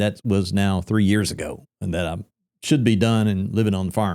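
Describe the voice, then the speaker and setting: On a very clean recording with a silent background, a man with a Tennessee accent talks at a fairly quick pace, with fairly low pitch, a dark, mellow tone and fairly even intonation. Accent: Southern US (Tennessee). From Middle Tennessee. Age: 60s. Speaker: real estate brokerage founder. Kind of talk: podcast interview. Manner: casual, conversational.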